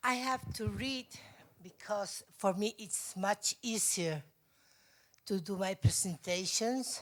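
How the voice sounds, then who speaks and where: A medium-pitched woman with a Spanish accent, at a very slow pace with long, frequent pauses. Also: ordinary pitch variation. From Spain, Madrid. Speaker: mental health advocacy organization president. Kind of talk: conference presentation read from notes. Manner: halting, hesitant.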